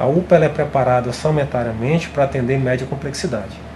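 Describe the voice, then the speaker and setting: A man speaks at a moderate pace as noticeable background noise runs underneath. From Acre, Brazil (Cruzeiro do Sul, Juruá region). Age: 40s. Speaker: former state health secretary. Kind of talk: interview. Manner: halting, with repetitions.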